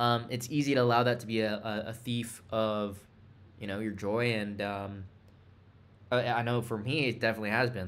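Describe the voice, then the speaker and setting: Fairly even intonation from a male speaker at a medium pitch, with audible room echo. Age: 20s. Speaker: entrepreneur vlogger. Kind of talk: casual vlog monologue. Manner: halting, many fillers and repeats.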